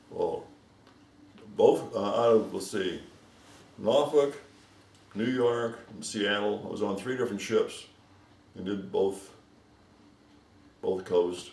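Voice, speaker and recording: A man with an American accent speaks at a very slow pace, with long, frequent pauses and ordinary pitch variation. Audible room echo surrounds the voice. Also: medium pitch for a man, big swings in loudness. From St. Louis area, Missouri. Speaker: longtime local resident, Navy veteran. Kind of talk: oral history interview.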